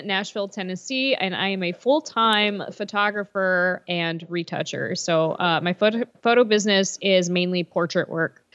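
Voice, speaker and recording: A woman with an American accent speaks at a moderate pace in an ordinary speaking voice, her medium pitch moving with ordinary variation against a quiet background. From Pennsylvania. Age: 30s. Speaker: photographer. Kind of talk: casual interview.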